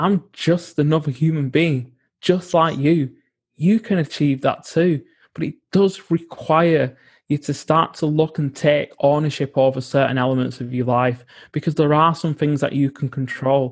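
Somewhat breathy and fairly high in pitch, a man talks at a moderate pace with fairly even intonation. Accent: British. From UK. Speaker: environmental psychologist and coach. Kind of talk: interview.

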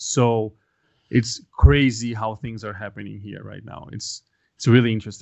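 Speaking at a moderate pace with a Portuguese accent, a man keeps his intonation fairly even while his loudness swings widely. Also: medium pitch for a man. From Brazil, Brasilia. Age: 30s. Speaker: ministry worker. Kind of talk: casual interview. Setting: remote call from Brazil.

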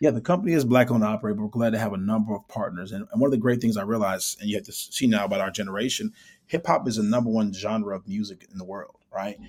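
Speaking very fast, a man with an American accent uses a fairly low pitch. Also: ordinary pitch variation. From Chicago, US Midwest. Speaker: startup founder and CEO. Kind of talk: interview.

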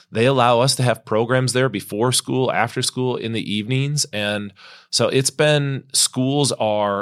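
At a fairly slow pace and with fairly even intonation, a man with an unremarkable speaking voice is heard in a very clean recording with a silent background and a dry, close sound with no echo. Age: 40s. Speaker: youth ministry leader. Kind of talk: casual interview.

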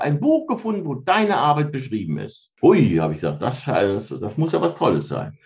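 At a moderate pace, a man talks in a medium pitch. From Rhineland, Germany (Cologne-Bonn area). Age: 50s. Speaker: mindfulness trainer. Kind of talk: interview.

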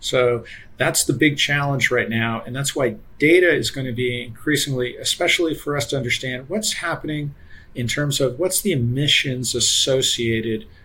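Here a man with a plain, everyday voice speaks at a moderate pace and a fairly high pitch. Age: 50s. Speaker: energy economist. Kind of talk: casual interview.

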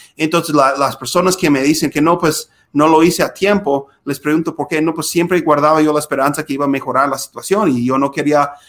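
A man's fairly high voice at a fairly quick clip, with fairly even intonation and hardly any pauses. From US Midwest, Minnesota. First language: English (speaking Spanish). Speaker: podcast host, lawyer. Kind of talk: casual interview. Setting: video call.

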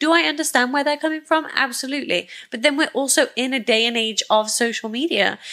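With a Welsh accent, a woman talks at a very fast pace in a raised, projected voice, her tone bright and sharp, her pitch high, with hardly any pauses. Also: ordinary pitch variation. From Wales, UK. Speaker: matchmaking team member. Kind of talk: casual chat.

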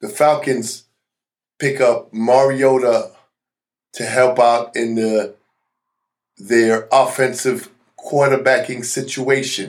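A man talks at a very slow pace. Long pauses come frequently. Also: medium pitch for a man. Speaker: podcast host. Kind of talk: solo podcast monologue. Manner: casual, energetic.

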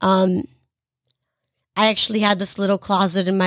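A woman speaks with an American accent in an unremarkable speaking voice. Her pitch is medium and her intonation fairly even. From US South, Greensboro, North Carolina. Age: 20s. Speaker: singer. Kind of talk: casual chat.

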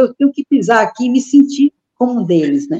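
A woman speaks at a high pitch with a dark, mellow tone. The sound is dry and close with no echo, and her pace is moderate. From Brazil, Ceará (Juazeiro do Norte). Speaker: retired backpacker traveler. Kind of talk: interview.

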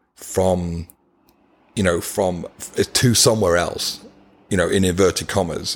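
A man with a British accent speaks at a fairly slow pace in a very deep, low pitch with fairly even intonation. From UK. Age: 50s. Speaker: nonprofit founder, former paramedic. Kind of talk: interview.

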